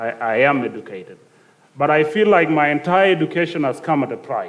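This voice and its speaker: This man has a South Sudanese accent. He talks at a fairly quick pace with ordinary pitch variation. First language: Dinka. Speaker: youth panelist. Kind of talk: panel discussion. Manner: halting, many fillers.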